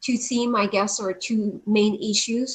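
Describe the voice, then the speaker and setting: This woman has a French accent and a fairly high pitch. Her intonation is flat and monotone. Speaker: panel moderator. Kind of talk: panel discussion. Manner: hesitant, many fillers.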